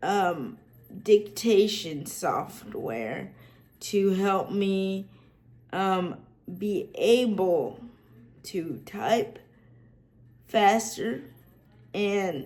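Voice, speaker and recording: With a Southern US accent, a woman talks very slowly at a medium pitch, using ordinary pitch variation and long, frequent pauses amid audible room echo. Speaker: accessibility tech YouTuber. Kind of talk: casual tutorial vlog. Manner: many fillers and restarts.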